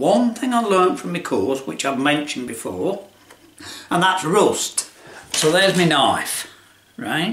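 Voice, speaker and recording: A man with a Lincolnshire accent speaks fairly slowly in a high voice with very wide pitch swings and long, frequent pauses, over noticeable background noise. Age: 70s. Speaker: retired tradesman video maker. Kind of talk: casual chat. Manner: rambling conversational, halting.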